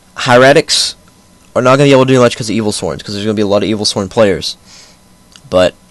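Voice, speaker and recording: Speaking at a very fast pace with long, frequent pauses, a man holds a medium pitch with ordinary pitch variation. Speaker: YouTuber, card game commentator. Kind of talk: casual commentary video. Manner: halting, slurred.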